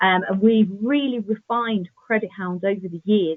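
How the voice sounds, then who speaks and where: Here a woman speaks in an East Midlands accent at a moderate pace. Her pitch is medium, with ordinary variation. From England, East Midlands. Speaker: software sales presenter. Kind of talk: webinar presentation. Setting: online webinar. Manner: frequent filler ums.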